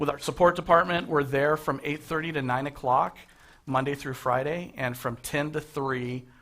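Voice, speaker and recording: A man's fairly high-pitched voice has a bright, sharp tone and fairly even intonation. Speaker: MLS company chief executive. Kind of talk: talk to a live audience. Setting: breakfast meeting with audience. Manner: fast.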